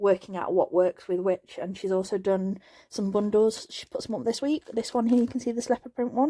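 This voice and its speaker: This woman talks at a fairly quick pace with a fairly high pitch and ordinary pitch variation. Her tone is dark and mellow. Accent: English. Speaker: craft tutorial youtuber. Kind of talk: product unboxing haul. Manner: fast; repetitive fillers, casual.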